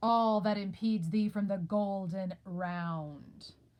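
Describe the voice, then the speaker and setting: A woman's put-on character voice, medium in pitch, fairly slow, with fairly even intonation. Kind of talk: dramatic Shakespeare reading. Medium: read story.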